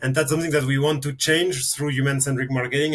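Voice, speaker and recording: This man speaks with a French accent, his pitch fairly high and his intonation fairly even. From France. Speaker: marketing consultant. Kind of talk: podcast interview.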